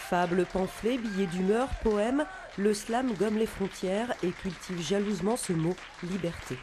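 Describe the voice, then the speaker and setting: Spoken at a fairly slow pace, with crowd noise in the background. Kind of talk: TV news report narration.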